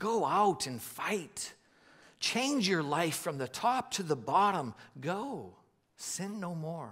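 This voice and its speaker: Very slow speech from a man, quiet background behind it. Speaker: preacher. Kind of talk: sermon. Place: stage. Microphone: headset.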